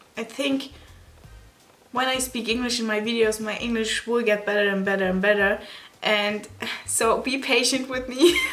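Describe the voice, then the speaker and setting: A woman speaks at a moderate pace with a non-native accent and fairly even intonation, leaving long, frequent pauses, with music playing in the background and audible room echo. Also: fairly high pitch for a woman. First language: not English, German-speaking. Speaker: beauty YouTuber. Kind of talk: vlog. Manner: halting.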